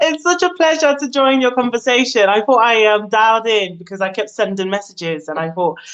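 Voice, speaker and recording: A woman with a London accent talks at a fairly quick pace, hardly pausing at all. Her fairly high pitch swings very widely. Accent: British (London). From Nigeria, then UK. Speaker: caller. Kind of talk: live call-in discussion. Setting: phone call into live show. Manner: hesitant, many fillers.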